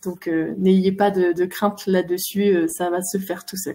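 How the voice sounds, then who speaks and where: Her voice somewhat breathy with a dark, mellow tone, a woman speaks at a medium pitch and a moderate pace with fairly even intonation. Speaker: animal communicator. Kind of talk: online talk; guided meditation. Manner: hesitant, many fillers; soft-spoken.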